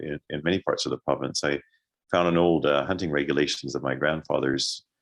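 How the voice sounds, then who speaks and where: Very deep and low, a man's voice carries vocal fry and a western Canadian accent. The sound is dry and close with no echo, and the background is quiet. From Canada, Alberta (Calgary). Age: 60s. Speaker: author and ecologist. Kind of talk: book talk. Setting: video call. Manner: halting, many fillers.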